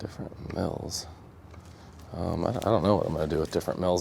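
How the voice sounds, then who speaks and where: A man speaking at a fairly quick pace. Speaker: epoxy craftsman and live stream host. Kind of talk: livestream craft demo with chat. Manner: casual and chatty.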